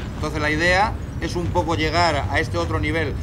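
There is noticeable background noise behind a man as he speaks. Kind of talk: informal talk to a group. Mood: animated, indignant. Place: street.

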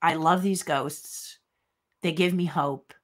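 Putting on a raspy character voice, a woman speaks at a fairly slow pace in a fairly low pitch. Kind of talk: casual vlog chat. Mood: warm, reflective.

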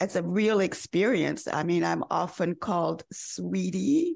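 A woman talks at a fairly slow pace with vocal fry. Her pitch is medium. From US South, North Carolina. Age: 70s. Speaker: fashion model. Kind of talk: interview.

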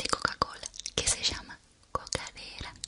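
A woman speaks in a whisper. Her tone is gentle. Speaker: ASMR creator. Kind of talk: soft ASMR talk, whispering. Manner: gentle whispered ASMR speech. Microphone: studio mic.

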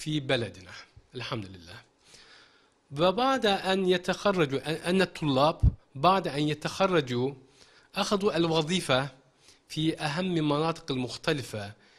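Speaking very slowly, a man uses a fairly high pitch and lively intonation. He leaves long, frequent pauses and makes big swings in loudness. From Turkey. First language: Turkish (speaking Arabic). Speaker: Arabic teacher. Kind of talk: interview. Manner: halting. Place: studio. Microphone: handheld.

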